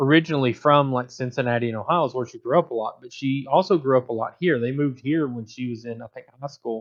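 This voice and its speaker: A man in a Southern accent, with ordinary pitch variation. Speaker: podcast host. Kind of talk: casual chat.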